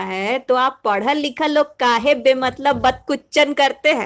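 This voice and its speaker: A woman's voice with a Bihari accent. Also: quiet background. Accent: Bihari Hindi. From Bihar, India. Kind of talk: humorous monologue reading.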